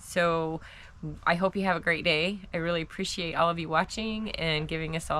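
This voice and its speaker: Fairly quick, fairly low-pitched speech from a woman, with noticeable background noise and audible room echo. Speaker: vlogger living off-grid in a camper. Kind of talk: casual vlog talk to camera. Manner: soft-spoken.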